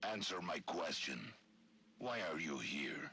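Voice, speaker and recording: Putting on a character voice, a man speaks in a raspy, very deep, low pitch with very wide pitch swings at a fairly slow pace. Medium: video game. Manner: measured, cold.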